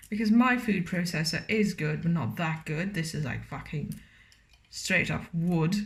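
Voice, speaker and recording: Audible room echo surrounds a woman whose somewhat breathy voice has lively intonation. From Romania. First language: Romanian. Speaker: cooking vlogger. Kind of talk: cooking tutorial with casual chat. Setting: home kitchen. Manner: casual, hesitant with many fillers.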